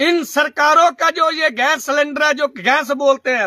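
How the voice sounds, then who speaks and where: A man with a Punjabi accent uses a raised, projected voice at an extremely high pitch. His tone is bright and sharp, with ordinary pitch variation. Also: dry, close sound with no echo. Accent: Punjabi-accented Hindi. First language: Punjabi (speaking Hindi). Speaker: social commentator. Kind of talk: monologue to camera. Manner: animated; halting.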